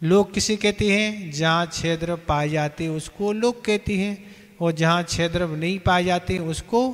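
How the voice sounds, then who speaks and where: A man with a high pitch speaks very slowly, his intonation fairly even. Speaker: religious teacher. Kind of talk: sermon. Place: hall. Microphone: handheld.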